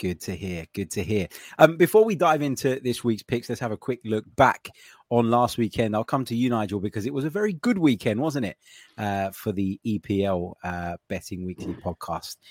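A man with a British accent speaks at a moderate pace in a medium pitch, his intonation lively, on a very clean recording with a silent background and a dry, close sound with no echo. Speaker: podcast host. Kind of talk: casual sports betting discussion.

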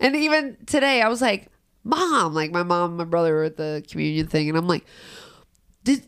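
Pausing long and often, a woman with a fairly low pitch speaks at a moderate pace, her voice swinging very widely in pitch. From Cincinnati, Ohio (Price Hill). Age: 30s. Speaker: comedian and rapper. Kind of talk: casual chat.

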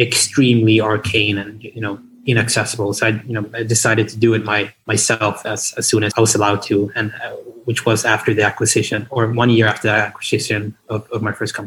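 The speaker has a non-native accent. The intonation is monotone and flat. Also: man. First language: not English. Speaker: esports company CEO. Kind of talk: interview. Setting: remote call. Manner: halting, many repetitions.

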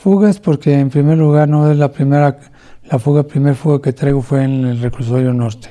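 A man with a Mexico City accent speaks at a moderate pace in a fairly high, dark, mellow voice, his intonation fairly even and his loudness very even. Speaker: former police officer and ex-convict. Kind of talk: testimony. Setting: at home under house arrest.

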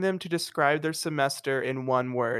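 A man with an unremarkable speaking voice talks at a moderate pace, his pitch varying in an ordinary way, on a very clean recording where the background is silent. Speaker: podcast co-host, college student. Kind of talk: casual chat.

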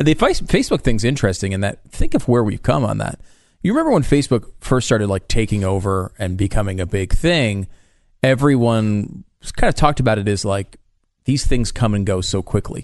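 In an ordinary speaking voice, a man talks at a fairly quick pace with fairly low pitch and ordinary pitch variation against a quiet background. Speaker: radio co-host. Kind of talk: casual talk radio banter.

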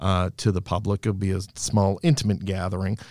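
Fairly low in pitch, a man with an American accent speaks in a normal speaking voice with fairly even intonation on a very clean recording with a silent background. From Boston area, Massachusetts. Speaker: singer's manager, former government contractor. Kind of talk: casual interview chat. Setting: studio.

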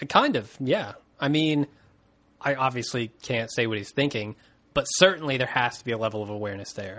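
Against a quiet background, a man talks at a fairly quick pace and medium pitch. His tone is bright and sharp, with ordinary pitch variation. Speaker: podcast host. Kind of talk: casual chat.

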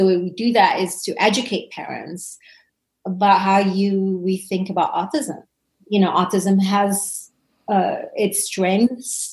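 Somewhat breathy, a woman speaks with medium pitch and fairly even intonation. Her pace is fairly slow, and the background is quiet. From Indonesia. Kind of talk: interview.

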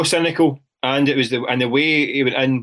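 The speaker talks at a fairly quick pace with a Glaswegian accent. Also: man. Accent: Glaswegian Scottish. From Scotland, east end of Glasgow. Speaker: football journalist. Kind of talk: casual chat.

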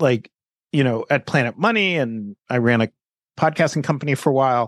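In a quiet background, a man with medium pitch speaks at a moderate pace with lively intonation, the sound dry and close with no echo. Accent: New York. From New York City. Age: 50s. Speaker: journalist and author. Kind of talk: interview, casual conversation. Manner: conversational, reflective, laughs often.

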